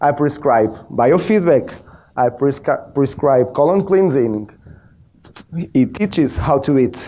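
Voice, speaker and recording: A man talks with a Portuguese accent at a fairly slow pace. His pitch swings very widely. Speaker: biofeedback practitioner. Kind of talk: presentation.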